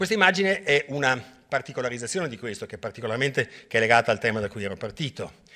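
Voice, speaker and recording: A man at a medium pitch and very fast pace, with lively intonation, big swings in loudness and a bright, sharp tone against a quiet background. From Venice, Italy; Italy. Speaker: hydrology professor; lecturer, hydrology professor. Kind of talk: lecture. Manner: halting, many repetitions and fillers. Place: hall.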